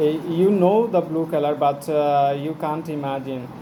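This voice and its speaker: A man's fairly high voice in a Bengali accent, fairly even intonation, noticeable background noise and audible room echo. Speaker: English learner vlogger. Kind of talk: casual monologue. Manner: halting, many fillers.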